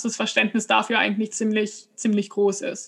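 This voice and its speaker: A woman speaks at a moderate pace and fairly high pitch. Her tone is bright and sharp, her intonation monotone and flat. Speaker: podcast host with epilepsy. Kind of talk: casual interview conversation.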